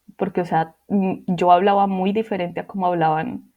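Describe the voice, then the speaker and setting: In an unremarkable speaking voice, a woman talks at a fairly slow pace with a medium pitch and fairly even intonation. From Colombia, Manizales. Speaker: interviewee sharing life story. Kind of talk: personal testimony.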